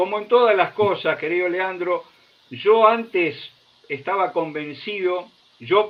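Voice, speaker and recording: A man talks at a very slow pace with long, frequent pauses. His pitch is high. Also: ordinary pitch variation. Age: 70s. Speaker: retired army officer. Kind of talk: interview conversation.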